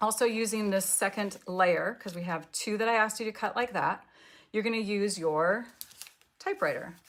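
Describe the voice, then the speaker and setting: Intonation stays fairly even, delivered with an American accent. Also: woman, fairly high pitch for a woman. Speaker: paper craft demonstrator. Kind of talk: live craft tutorial. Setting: live online class. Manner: fast.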